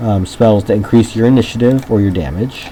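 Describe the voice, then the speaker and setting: A man talks at a moderate pace in a fairly low voice with fairly even intonation, with noticeable background noise behind him. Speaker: gaming video creator. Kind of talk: let's play commentary. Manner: loud; hesitant, many ums. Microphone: bad microphone, separate voice recorder, may be quiet.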